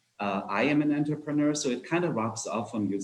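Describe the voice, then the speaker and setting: A man with a German accent talks at a fairly quick pace in a fairly high pitch, his intonation lively. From Germany (Nuremberg). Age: 50s. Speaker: entrepreneur. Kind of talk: fireside chat talk. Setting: video call. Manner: hesitant, many fillers.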